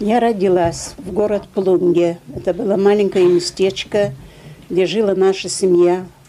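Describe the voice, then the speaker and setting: Against noticeable background noise, a woman speaks at a fairly slow pace with a medium pitch and fairly even intonation. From Lithuania. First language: Russian (speaking German). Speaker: Holocaust survivor. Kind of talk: testimony. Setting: school auditorium with audience.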